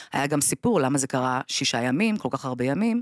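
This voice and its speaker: In a dry recording with no echo and a quiet background, a woman talks with a very deep, low pitch and ordinary pitch variation. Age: 40s. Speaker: bereaved mother; podcast guest. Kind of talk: testimony. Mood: grave, emotional storytelling. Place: studio. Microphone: studio mic.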